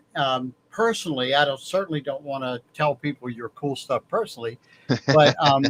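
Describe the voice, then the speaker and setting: A man speaks at a moderate pace in a fairly high pitch with ordinary pitch variation, in a plain, everyday voice. The sound is dry and close, with no echo. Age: 60s. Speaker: podcast co-host. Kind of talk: casual chat.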